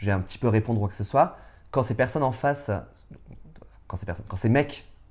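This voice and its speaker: His voice has a dark, mellow tone, as a man speaks at a fairly low pitch with ordinary pitch variation. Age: 30s. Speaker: drag artist. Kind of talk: interview. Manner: loud; halting, many fillers.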